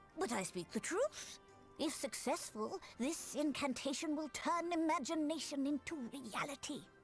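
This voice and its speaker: A woman's high-pitched, put-on character voice at a moderate pace, with clear music in the background. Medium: video game. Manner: measured, formal.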